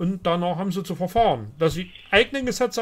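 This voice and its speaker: This man has a high-pitched voice. His intonation is lively. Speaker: livestream host answering viewer questions. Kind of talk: live call-in Q&A. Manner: hesitant with many fillers. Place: home room. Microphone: studio mic.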